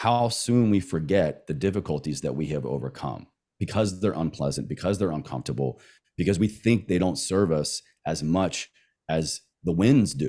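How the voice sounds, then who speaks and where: With an American accent, a man speaks at a moderate pace in a very deep, low voice with vocal fry and a dark, mellow tone, his intonation lively, on a very clean recording with a silent background. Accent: slight Southern, occasionally noticeable. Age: 30s. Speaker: wellness coach and podcaster. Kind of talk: casual chat. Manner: emphatic.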